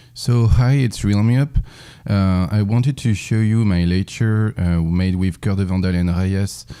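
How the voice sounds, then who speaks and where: Speaking at a fairly slow pace, a man with a French accent has a fairly low pitch and a dark, mellow tone. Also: ordinary pitch variation, very even loudness. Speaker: speedrun lecturer. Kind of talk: lecture. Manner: halting, many fillers.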